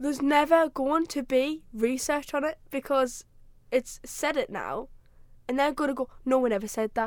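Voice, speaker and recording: A woman with a high voice speaks with fairly even intonation. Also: moderate pace. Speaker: podcast co-host, student. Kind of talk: casual banter chat.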